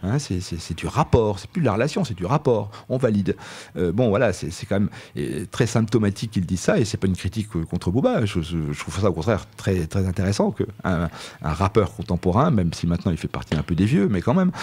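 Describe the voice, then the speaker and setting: A man speaks with a fairly low pitch and lively intonation. His pace is fairly quick. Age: 60s. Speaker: philosophy teacher, author. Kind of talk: radio interview. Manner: halting, many hesitations.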